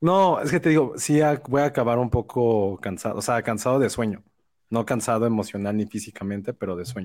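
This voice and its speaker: This man talks at a fairly quick pace with a medium pitch and ordinary pitch variation. The recording is very clean, with a silent background. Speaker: film podcast host. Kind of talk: casual chat. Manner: relaxing voice.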